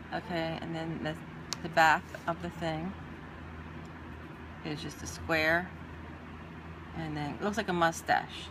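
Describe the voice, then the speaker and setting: Long, frequent pauses break up a woman's speech. Her pace is fairly slow. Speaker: art teacher. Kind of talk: tutorial.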